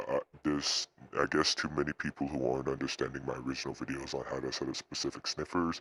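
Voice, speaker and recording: A man with a very deep, low pitch speaks fairly quickly in a flat monotone, with vocal fry and a bright, sharp tone, on a dry, close recording with no echo. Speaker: tech tutorial youtuber. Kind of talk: tutorial. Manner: halting.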